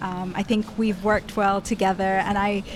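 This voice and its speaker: Over noticeable background noise, a woman speaks in a monotone with flat intonation. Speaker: podcast co-host. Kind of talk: casual chat over tea and cake.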